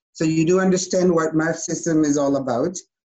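A woman speaks with a Chilean accent. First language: Spanish. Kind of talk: casual conversation, interview.

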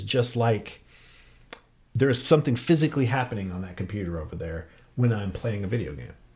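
A man with a medium pitch speaks in a somewhat breathy voice, with ordinary pitch variation. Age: 40s. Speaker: independent physics researcher. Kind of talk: casual interview. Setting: studio.

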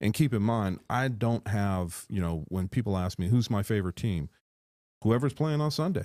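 A man talks at a moderate pace with a fairly low pitch and a dark, mellow tone. The recording is very clean, with a silent background. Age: 50s. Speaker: football panelist and league commissioner. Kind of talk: casual chat. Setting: studio.

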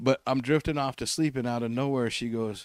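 A man's ordinary speaking voice at medium pitch, ordinary in pitch variation, dry and close with no echo. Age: 50s. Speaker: comedian. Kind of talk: casual chat.

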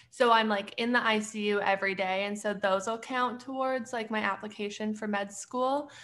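With a western Canadian accent and a fairly high pitch, a woman speaks at a moderate pace with hardly any pauses and fairly even intonation. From Canada, Edmonton, Alberta. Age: 20s. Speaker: graduate student and clothing brand owner. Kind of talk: casual chat.

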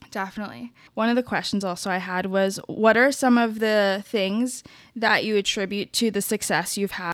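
A woman talks at a moderate pace in an unremarkable speaking voice, her medium pitch showing ordinary pitch variation, in a very clean recording with a silent background. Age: 20s. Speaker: podcast host, PR worker. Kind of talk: casual interview. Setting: at home in her apartment. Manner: many fillers, laughing.

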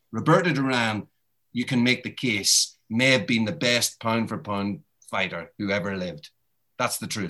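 A man with a Northern Irish accent, medium pitch and a moderate pace. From Northern Ireland. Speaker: boxing author and journalist. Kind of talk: interview.

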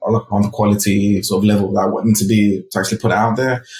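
Somewhat breathy, a man talks at a fairly quick pace and a fairly low pitch with fairly even intonation. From UK, raised from age four or five after birth in Ghana. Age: 30s. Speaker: designer and creative director. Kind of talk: interview. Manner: filler-heavy, casual.

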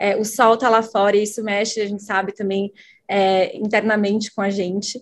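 A woman is speaking. Her voice sits at a fairly high pitch. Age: 20s. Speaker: marketing lead. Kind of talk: casual chat.

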